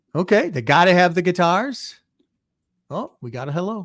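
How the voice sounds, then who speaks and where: A man's high-pitched voice at a moderate pace, with big swings in loudness and long, frequent pauses. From Chicago, US Midwest. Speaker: podcast host. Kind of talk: casual livestream chat. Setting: livestream.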